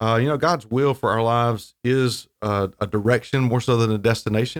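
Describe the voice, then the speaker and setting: An ordinary speaking voice from a man with an American accent, medium pitch with ordinary variation, a moderate pace, and a very clean recording with a silent background. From North Carolina coast (Wilmington). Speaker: seminary dean and pastor. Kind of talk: interview.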